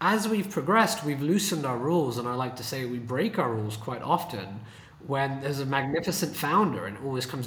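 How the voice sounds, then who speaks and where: With a British accent, a man speaks at a very fast pace in a fairly high pitch with very wide pitch swings over noticeable background noise. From UK. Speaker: venture capitalist. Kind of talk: casual interview conversation. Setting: video call from San Francisco.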